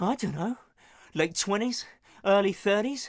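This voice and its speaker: A man puts on a character voice with a high pitch. He mumbles at a moderate pace. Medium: video game. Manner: dialect grammar, mumbling.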